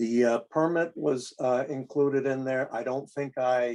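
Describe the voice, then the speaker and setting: A man at a moderate pace, intonation fairly even, with a dry, close sound and no echo. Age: 60s. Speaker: project applicant. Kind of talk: public meeting discussion. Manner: halting.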